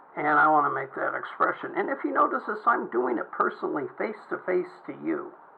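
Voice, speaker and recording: A man with an American accent at a fairly quick pace, with noticeable background noise. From Southern California. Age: 60s. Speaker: vlogger, veteran. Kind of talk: personal video monologue. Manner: halting, repetitive.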